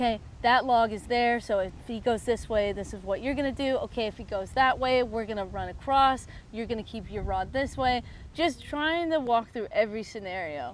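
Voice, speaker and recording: A woman speaks in an ordinary speaking voice, fairly high-pitched, at a moderate pace with ordinary pitch variation. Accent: American. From United States. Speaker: fly fishing guide. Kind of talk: interview answer.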